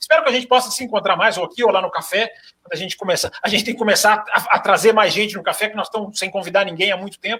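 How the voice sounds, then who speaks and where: A man's high voice, raised and projected, comes at a very fast pace. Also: ordinary pitch variation. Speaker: motorsport journalist. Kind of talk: podcast panel chat.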